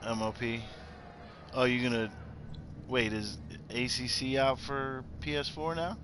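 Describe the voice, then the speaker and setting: A man with an American accent speaks at a medium pitch and a very slow pace, his lively intonation broken by long, frequent pauses. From Pittsburgh, Pennsylvania. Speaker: video game streamer. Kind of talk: casual live-stream gaming chat. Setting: home setup, live stream while gaming.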